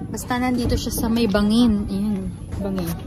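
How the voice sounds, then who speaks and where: A woman talks at a fairly slow pace. The sound is dry with no echo, and clear music plays in the background. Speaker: travel vlogger. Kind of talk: casual vlog chat. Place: garden. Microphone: phone near.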